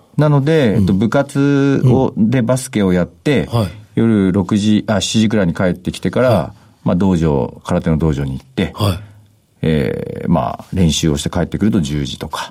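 At a moderate pace, a man with a fairly low pitch and a dark, mellow tone speaks with very wide pitch swings and big swings in loudness. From Japan, Toyama Prefecture. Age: 40s. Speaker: company CEO. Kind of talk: interview. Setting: studio.

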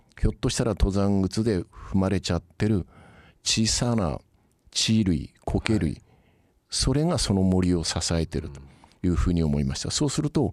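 A man's very deep, low voice with very wide pitch swings, at a moderate pace, in a very clean recording against a silent background. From Kyushu, Yakushima and Kagoshima. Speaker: company chairman. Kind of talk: interview. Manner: polite, measured.

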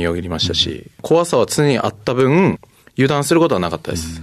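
The intonation is lively and the background quiet. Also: man. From Japan, Kagoshima. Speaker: rugby player. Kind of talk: interview. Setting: studio.

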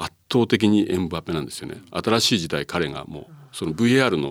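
Very deep and low in pitch, a man speaks at a moderate pace with lively intonation. The recording is very clean, with a silent background and a dry, close sound with no echo. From Japan, Numazu, Shizuoka. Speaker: football coach and pundit. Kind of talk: casual chat.

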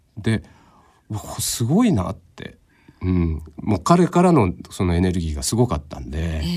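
A man speaks with a very deep, low pitch and a somewhat breathy sound. His loudness swings widely. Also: lively intonation, fairly slow pace. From Japan, Fukuoka. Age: 50s. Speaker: painter. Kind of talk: interview. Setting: studio.

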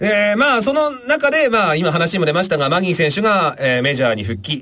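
A man talks very fast in a high voice with very wide pitch swings. Background noise is noticeable. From Japan, Aomori. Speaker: radio host. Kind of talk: casual chat.

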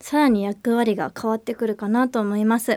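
At a fairly quick pace, a woman with a plain, everyday voice and fairly high pitch comes through in a dry, close sound with no echo. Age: 30s. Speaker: financial planner and financial educator. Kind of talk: casual educational chat.

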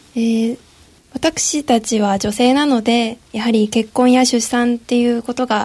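Her tone dark and mellow and somewhat breathy, a woman speaks at a fairly high pitch with fairly even intonation. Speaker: pharmacy student. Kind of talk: roundtable discussion. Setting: radio studio.

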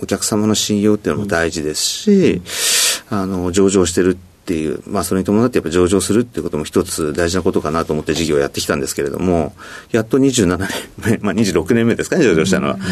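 A man's very deep, low voice at a fairly quick pace with ordinary pitch variation, over noticeable background noise. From Hokkaido, Sapporo. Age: 50s. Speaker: company president. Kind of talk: interview. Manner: frequent filler words.

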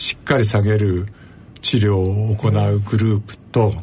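A man with a dark, mellow tone and a somewhat breathy quality speaks fairly slowly in a fairly low voice. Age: 70s. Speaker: physician and professor emeritus. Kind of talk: interview.

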